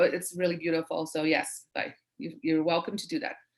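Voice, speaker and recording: This woman has a non-native accent. She keeps to a moderate pace. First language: not English. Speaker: branding expert, webinar speaker. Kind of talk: Q&A session in webinar.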